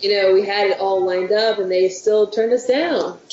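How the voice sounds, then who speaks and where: A mid-pitched female voice at an average tempo, clear noise behind it. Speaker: punk band member. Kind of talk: interview.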